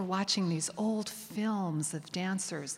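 In a normal speaking voice, a woman with an American accent talks at a medium pitch with ordinary pitch variation. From US Northeast, Connecticut suburbs of New York. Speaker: dance historian and professor. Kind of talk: onstage interview. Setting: stage with audience.

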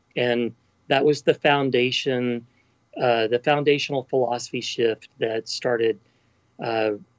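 This man, speaking with a West Texas accent, keeps his intonation fairly even. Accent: Texan (West Texas). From Texas Panhandle. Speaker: college president. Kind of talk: interview.

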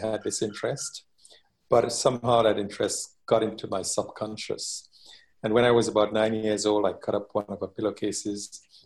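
Against a quiet background, a man talks at a medium pitch in a somewhat breathy voice. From Trinidad. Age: 60s. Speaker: master tailor and tailoring teacher. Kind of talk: interview.

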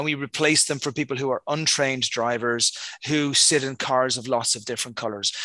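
Against a quiet background, a man with a Dublin accent speaks fairly quickly at a medium pitch in a bright, sharp tone. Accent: Irish (Dublin). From Dublin, Ireland. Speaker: accelerator founder. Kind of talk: casual interview.

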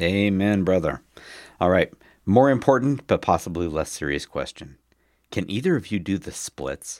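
A man's very deep, low pitch with lively intonation at a moderate pace, in a very clean recording with a silent background and a dry, close sound with no echo. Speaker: cycling podcast co-host. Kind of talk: casual chat. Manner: jokey, laughing.

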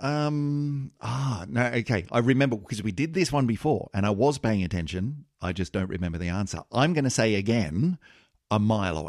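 A man with an Australian accent, moderate pace and very wide pitch swings. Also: medium pitch for a man. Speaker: podcast host and producer. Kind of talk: casual chat. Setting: studio.

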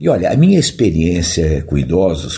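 A man's very deep, low voice, somewhat breathy, at a fairly slow pace. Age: 70s. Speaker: physical education professor. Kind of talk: interview.

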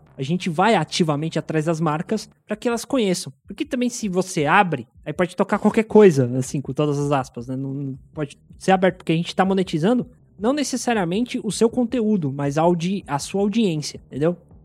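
A man's high-pitched voice at a fairly quick pace, with lively intonation, hardly any pauses, and a dry, close sound with no echo. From São Paulo city, Brazil. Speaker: podcast industry professional. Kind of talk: casual interview chat.

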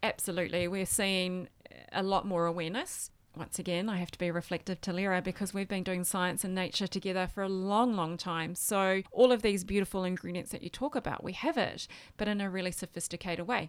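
A woman speaks at a fairly quick pace and medium pitch, intonation fairly even. The recording is very clean, with a silent background. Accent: Australian. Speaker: skincare distributor. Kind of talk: interview.

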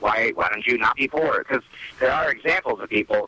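Noticeable background noise accompanies a man with an American accent talking at a fairly quick pace. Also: dry, close sound with no echo. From US Northeast, New Jersey. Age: 30s. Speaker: comedian. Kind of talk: casual chat.

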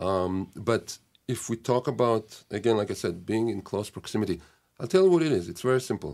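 In a very clean recording with a silent background, a man with a fairly low pitch talks at a fairly quick pace in an Israeli accent, his intonation lively. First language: Hebrew. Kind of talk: casual chat. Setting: studio.

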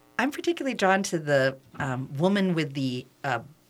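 A woman with a very deep, low voice at a moderate pace. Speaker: radio host. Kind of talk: interview. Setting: studio.

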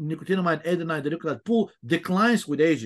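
Against a quiet background, a man with a fairly high voice and a Bulgarian accent speaks with ordinary pitch variation. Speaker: health researcher. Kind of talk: interview. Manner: halting.

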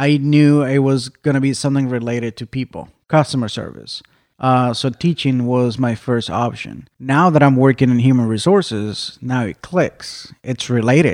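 A man with an American accent talks at a moderate pace and medium pitch in a normal speaking voice, with ordinary pitch variation. The recording is very clean, with a silent background and a dry, close sound that has no echo. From Mexico, raised partly in Arizona. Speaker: dairy farm HR manager. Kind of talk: interview.

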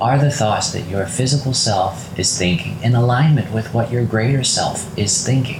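Speech with hardly any pauses and ordinary pitch variation plays over noticeable background noise. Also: man, medium pitch for a man. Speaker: meditation guide. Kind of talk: guided meditation. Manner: slow, calm, soothing, with gentle pauses; soft-spoken, reassuring, direct address.

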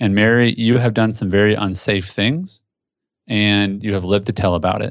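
A man talks with a Midwestern US accent. His pitch is fairly low and his intonation fairly even. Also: quiet background. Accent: US Midwest. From Indianapolis, Indiana. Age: 30s. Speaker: entrepreneur. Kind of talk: casual interview. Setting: home office.

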